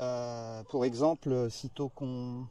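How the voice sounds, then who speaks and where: This man's voice has a dark, mellow tone. His pitch sits in the medium range. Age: 60s. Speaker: expat graphic designer. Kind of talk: interview. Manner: hesitant, many filler sounds.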